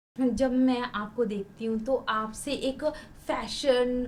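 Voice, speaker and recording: This woman speaks in a high pitch with ordinary pitch variation. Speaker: podcast host. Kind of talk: interview questions.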